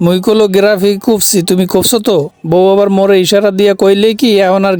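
A man talks with a Barisal accent. His voice sits high in pitch. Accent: Barishal dialect Bengali. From Barishal, Bangladesh. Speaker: vlogger. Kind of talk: casual vlog in regional dialect. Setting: metro train and station. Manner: animated.

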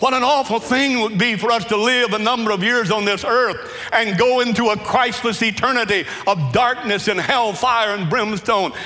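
A man's raised, projected voice at a fairly slow pace, with ordinary pitch variation. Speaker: preacher. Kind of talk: sermon. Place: church. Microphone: headset.

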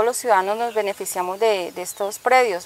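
At a fairly quick pace, a woman speaks with ordinary pitch variation in a dry recording with no echo. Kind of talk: interview answer. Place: open country.

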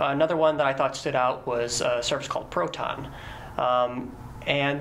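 Light background noise under a man speaking at a moderate pace with fairly even intonation. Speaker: guest. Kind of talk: interview answer. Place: studio.

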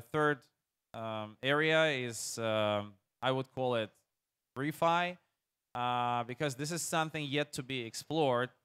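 Delivery is fairly slow. Its tone sounds bright and sharp. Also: man, quiet background. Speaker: startup CEO. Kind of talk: panel discussion. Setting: stage with audience. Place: stage. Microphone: lapel.

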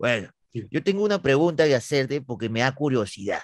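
A man speaks at a fairly quick pace with a fairly high pitch. His animated tone swings very widely in pitch. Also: quiet background, dry sound with no echo. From Peru. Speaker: comedy YouTuber, interviewer. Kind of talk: casual comedic interview. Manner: animated, joking. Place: home room. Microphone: studio mic.

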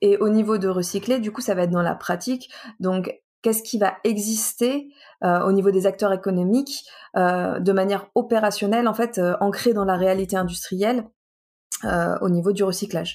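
Recorded very cleanly with a silent background, a woman with a medium pitch speaks at a moderate pace in an unremarkable speaking voice, her intonation fairly even. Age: 20s. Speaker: recycling engineer and trainer. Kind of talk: casual interview.

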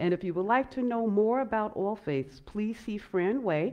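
A woman talks at a fairly slow pace. The background is quiet. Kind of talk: welcome address at worship service. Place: church.

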